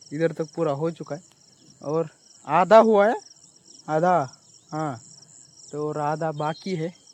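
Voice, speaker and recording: A man's voice, fairly high in pitch, with ordinary pitch variation. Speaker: farmer vlogger. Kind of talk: casual vlog narration. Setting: outdoors in a field. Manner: halting in Hindi.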